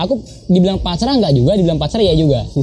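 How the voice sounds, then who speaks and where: Very fast speech with lively intonation. Music plays in the background. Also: man. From Jakarta, Indonesia. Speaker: touring cyclist / bike packer. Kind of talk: casual interview chat.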